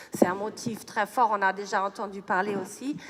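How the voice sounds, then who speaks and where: Noticeable noise sits in the background. Through it, a woman talks. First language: German or English; French learned in childhood (speaking French). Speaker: neuroscientist. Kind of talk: lecture. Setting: stage with audience. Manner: halting, many hesitations.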